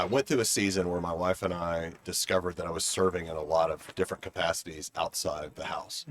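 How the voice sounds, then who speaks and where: Heard in a dry, close sound with no echo, a man with a very deep, low pitch speaks at a moderate pace with fairly even intonation. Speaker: interview guest. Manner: monotone.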